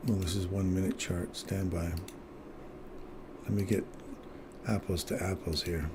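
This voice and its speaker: With a very deep, low pitch and flat, monotone intonation, the man speaks at a moderate pace and very even loudness, leaving long, frequent pauses over noticeable background noise. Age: 60s. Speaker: day trader streaming live trades. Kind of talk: live trading commentary with chat.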